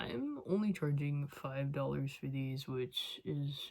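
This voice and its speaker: Mumbled speech at a very slow pace. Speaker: crochet vlogger and market seller. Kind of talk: casual vlog talk. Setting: at home at night. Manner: mumbly.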